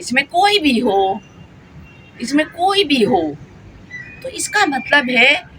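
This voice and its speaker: A woman speaks in a raised, projected voice with an animated tone and very wide pitch swings. Noticeable background noise can be heard. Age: 60s. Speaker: vlogger. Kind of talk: casual vlog monologue. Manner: talkative.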